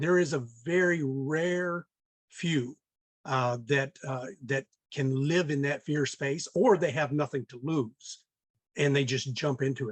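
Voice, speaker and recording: A man talks at a fairly slow pace in an American accent, his pitch fairly high with ordinary variation. The sound is dry and close, with no echo. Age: 60s. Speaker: real estate investor. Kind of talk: podcast interview. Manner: many filler words and hesitations.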